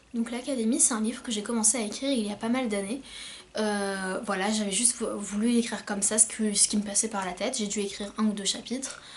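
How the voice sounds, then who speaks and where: A woman talks very fast in a fairly high voice with fairly even intonation. Noticeable background noise runs underneath. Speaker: self-published novelist. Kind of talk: casual vlog talk. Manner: hesitant, many fillers.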